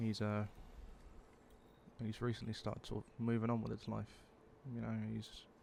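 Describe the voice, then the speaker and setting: At a moderate pace, a man with a British accent speaks quietly, leaving long, frequent pauses. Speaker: vlogger. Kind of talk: personal confessional monologue. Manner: quiet, subdued; halting.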